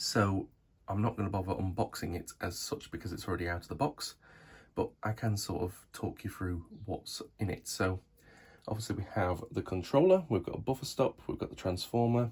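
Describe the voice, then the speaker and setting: On a very clean recording with a silent background, a man speaks at a moderate pace in a fairly low, somewhat breathy voice. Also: ordinary pitch variation. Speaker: model railway YouTuber. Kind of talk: product review. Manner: casual with many fillers.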